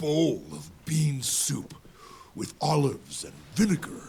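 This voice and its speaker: A man puts on a character voice with a fairly high pitch. He speaks at a fairly slow pace. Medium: video game. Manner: playful, good-humoured.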